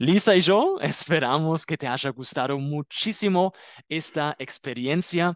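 The sound of this man's voice is dry and close, without any echo. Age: 30s. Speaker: German teacher. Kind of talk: tutorial; scripted language-learning dialogue. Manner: slow.

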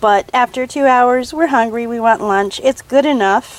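A woman speaks at a moderate pace with ordinary pitch variation, the sound dry and free of echo. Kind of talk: casual cooking vlog. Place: garden. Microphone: phone near.

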